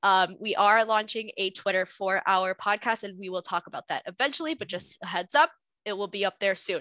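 Speaking at a fairly quick pace, a woman has a medium pitch and a bright, sharp tone. The sound is dry and close with no echo, over a quiet background. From Southwest Florida. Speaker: cohost. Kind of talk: casual chat. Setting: video call.

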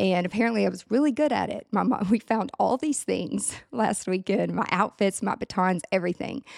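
A Tennessee accent at a moderate pace, dry and close with no echo. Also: woman. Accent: Southern US (Tennessee). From US South, Nashville area, Tennessee. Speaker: productivity consultant and event planner. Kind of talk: casual interview chat.

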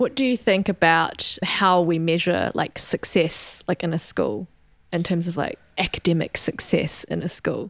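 A woman with a New Zealand accent, fairly low-pitched and fairly slow, with ordinary pitch variation and a dry, close sound with no echo. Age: 20s. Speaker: podcast host and doctor. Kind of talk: interview.

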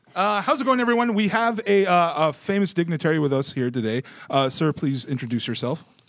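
The speaker talks at a fairly quick pace. The pitch swings very widely. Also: man, high pitch for a man. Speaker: podcast host. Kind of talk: casual chat. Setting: live video podcast.

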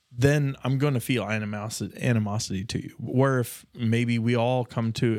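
Speaking in a normal speaking voice with an American accent, a man talks at a moderate pace and medium pitch with ordinary pitch variation, on a very clean recording with a silent background. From rural Nebraska. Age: 30s. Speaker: podcast co-host. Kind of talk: casual chat.

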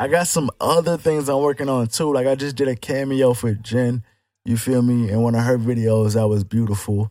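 In a plain, everyday voice, a man speaks at a moderate pace with a medium pitch and ordinary pitch variation, recorded very cleanly with a silent background and a dry, close sound with no echo. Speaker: rapper. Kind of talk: casual chat. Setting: studio.

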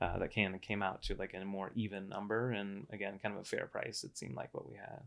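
A man talks at a fairly quick pace in a fairly low pitch with ordinary pitch variation. His is an unremarkable speaking voice. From Florida, Cocoa Beach area. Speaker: IT professional and business buyer. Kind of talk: casual interview.

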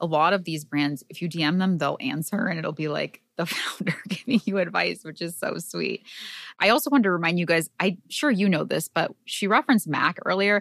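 A woman speaks with a normal speaking voice, fairly low in pitch. Her intonation is lively and her pace fairly quick. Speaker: podcast host. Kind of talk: casual chat.

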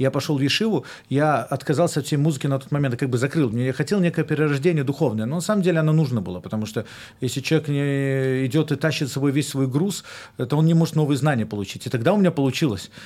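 A man with a fairly high pitch speaks at a very fast pace with ordinary pitch variation. The recording is very clean, with a silent background. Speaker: rabbi and musician. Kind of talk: casual chat. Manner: halting.

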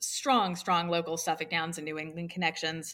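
Pitched fairly low, a woman talks at a moderate pace. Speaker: race caller and handicapper. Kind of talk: interview and casual chat.

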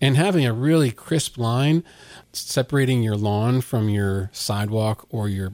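A man's ordinary speaking voice with an American accent, medium pitch and ordinary pitch variation, in a dry, close sound with no echo. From Virginia, US. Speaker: lawn care business owner. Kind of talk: casual interview.

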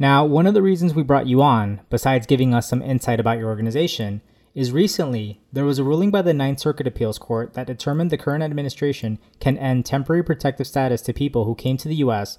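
Here a man with an American accent speaks at a very fast pace, his medium-pitched voice dark and mellow. His pitch varies in an ordinary way, and the recording is very clean with a silent background. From Mexican American. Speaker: podcast co-host. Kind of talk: interview.

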